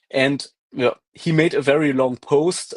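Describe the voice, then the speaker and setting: The sound is dry and close, with no echo. A man speaks in a German accent. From Germany. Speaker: science debunking stream co-host. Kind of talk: casual live stream discussion. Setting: live stream video call, screen sharing.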